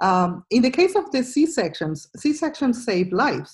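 A woman with a Spanish accent speaks at a fairly slow pace in a somewhat breathy voice. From Venezuela. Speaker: microbiome scientist, professor. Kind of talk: interview. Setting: video call. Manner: halting.

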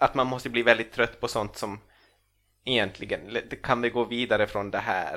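A man's bright, sharp, medium-pitched voice at a moderate pace in a monotone, flat intonation, on a very clean recording with a silent background. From Finland, Ostrobothnia (Swedish-speaking). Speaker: comedian and author. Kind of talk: casual chat. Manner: halting, many repeated words.

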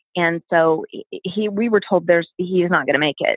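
A woman with a normal speaking voice, fairly low in pitch, with ordinary pitch variation and a fairly quick pace. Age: 40s. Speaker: cancer survivor and nonprofit founder. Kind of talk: interview.

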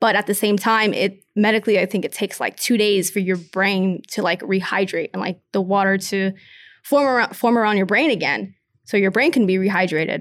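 With an American accent and an unremarkable speaking voice, a woman talks at a fairly quick pace and medium pitch with ordinary pitch variation, in a very clean recording with a silent background. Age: 20s. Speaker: professional boxer. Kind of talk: interview.

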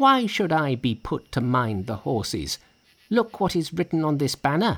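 In a put-on character voice, a man speaks at a fairly slow pace with a fairly high pitch and big pitch swings.

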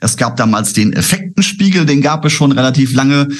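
Recorded with audible room echo, a man of medium pitch sounds somewhat breathy. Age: 50s. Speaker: trader, former broker. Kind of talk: interview.

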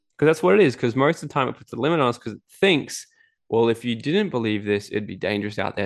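There is a quiet background as a man with an Australian accent speaks in a medium-pitched voice. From Australia, Gold Coast. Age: 20s. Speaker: entrepreneur and events speaker. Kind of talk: interview. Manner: animated.

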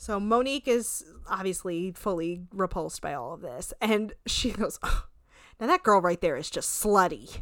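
A woman with an ordinary speaking voice talks at a moderate pace in a medium pitch with lively intonation. The recording is very clean, with a silent background. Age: 30s. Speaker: podcast co-host recapping reality TV. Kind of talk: casual chat.

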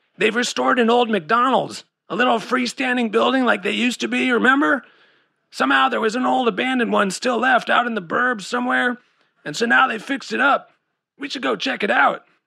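In a put-on character voice, a man talks at a fairly quick pace with an extremely high pitch. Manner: laid-back surfer-dude slang.

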